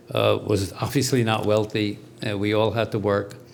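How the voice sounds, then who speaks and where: A man with an Armenian accent speaks at a moderate pace, fairly low in pitch. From US Northeast, New York. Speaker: retired diplomat. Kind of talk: interview. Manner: halting, many fillers.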